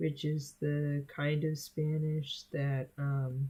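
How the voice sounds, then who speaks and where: Very slow speech with an American accent comes on a very clean recording with a silent background. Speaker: streamer and student artist. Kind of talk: casual chat. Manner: halting, many fillers.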